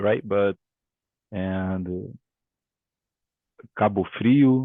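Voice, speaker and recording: A man with a Portuguese accent speaks at a fairly low pitch. His pitch varies in an ordinary way. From Brazil, Rio de Janeiro. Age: 20s. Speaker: English student. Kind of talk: language lesson conversation. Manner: halting.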